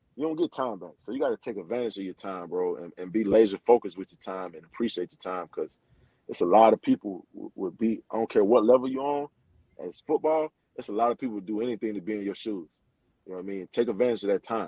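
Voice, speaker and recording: With an American accent, a man speaks very fast at a fairly low pitch, his tone dark and mellow and his pitch varying in an ordinary way. His loudness swings widely, and the sound is dry and close with no echo. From South Florida, Pompano Beach. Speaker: college football coach, former NFL player. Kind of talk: casual interview.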